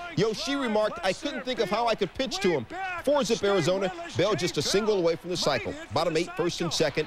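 Over noticeable background noise, a man talks at a very fast pace in a high-pitched, playful tone with very wide pitch swings. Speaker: sports highlights anchor. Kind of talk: baseball highlights narration. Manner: jokey, playful delivery.

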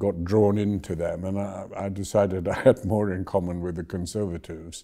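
Against a quiet background, a man with a dark, mellow tone speaks at a moderate pace with fairly even intonation. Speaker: former government minister, interviewee. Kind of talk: interview answer. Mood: relaxed, amused. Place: office. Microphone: lapel.

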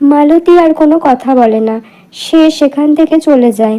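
A woman speaks at a moderate pace with a dark, mellow tone. Her pitch is high. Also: ordinary pitch variation.

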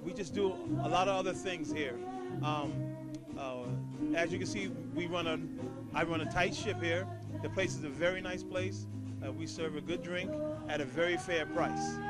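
A man talks at a fairly slow pace. Clear music plays in the background. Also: dry sound with no echo. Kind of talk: promotional talk to camera. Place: bar. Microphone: handheld.

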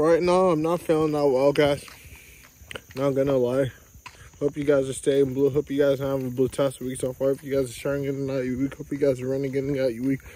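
Quiet and very fast, a man speaks in a fairly high pitch. His intonation is monotone and flat. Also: dry sound with no echo. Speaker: vlogger. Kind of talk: casual vlog. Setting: outdoors in the neighborhood. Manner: repetitive. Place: street. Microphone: phone near.

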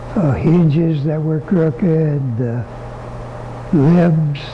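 Very slow speech from a man, with ordinary pitch variation, comes through noticeable background noise. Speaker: bow hunter and bow company owner. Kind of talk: interview answer. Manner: soft-spoken, easy-going. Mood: easy-going, soft-spoken.

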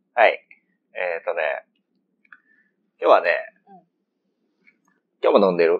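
A man with a Kansai accent talks at a moderate pace, leaving long, frequent pauses. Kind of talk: casual let's-play chat.

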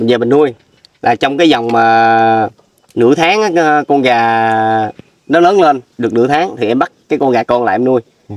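A man speaking at a fairly slow pace with ordinary pitch variation and long, frequent pauses, in a dry sound with no echo. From Vietnam. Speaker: charity vlogger. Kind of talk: casual interview. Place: farm. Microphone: phone near.

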